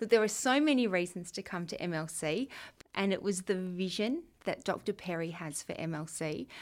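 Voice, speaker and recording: A woman at medium pitch with an Australian accent, lively intonation and a moderate pace, in a very clean recording with a silent background. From Western Australia. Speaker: school deputy principal. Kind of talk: interview answering students' questions. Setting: room with students present.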